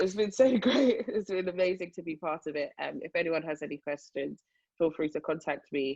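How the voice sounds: Low-pitched woman's voice with vocal fry and a slightly mellow tone, ordinary pitch variation, a moderate pace, and a dry, close sound with no echo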